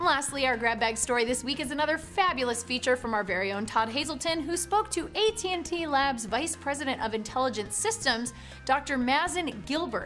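A woman speaks at a high pitch and a fairly quick pace. Faint music plays in the background. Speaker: news show host. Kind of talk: news bulletin presenting. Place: office.

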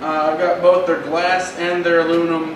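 A man with a high voice speaks in a fairly even intonation. There is audible room echo and noticeable background noise. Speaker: podcast host. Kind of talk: casual chat. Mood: relaxed, friendly. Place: bar.

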